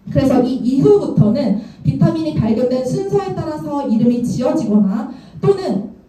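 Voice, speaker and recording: A woman at a moderate pace with very wide pitch swings, over background music and audible room echo. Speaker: product trainer. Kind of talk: lecture.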